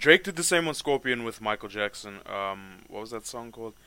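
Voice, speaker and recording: In a South African accent, a man speaks at a moderate pace with a bright, sharp tone. The recording is very clean, with a silent background. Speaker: rapper and podcast host. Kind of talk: casual chat. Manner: casual, laughs often.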